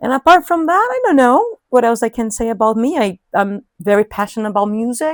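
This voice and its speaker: A woman with a Portuguese accent at a moderate pace, in a dry, close sound with no echo. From Brazil, São Paulo. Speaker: English teacher. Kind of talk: interview. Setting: outdoors.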